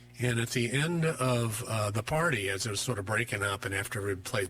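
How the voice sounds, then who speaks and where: Medium in pitch, a man's voice speaks. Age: 60s. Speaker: musician and counselor. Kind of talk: radio interview. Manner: hesitant with many fillers.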